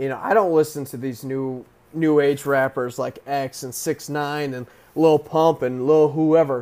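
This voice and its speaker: Fairly high in pitch yet dark and mellow in tone, a man speaks at a fairly slow pace with fairly even intonation and big swings in loudness. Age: 20s. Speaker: podcast host. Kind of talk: casual monologue. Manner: hesitant, many fillers.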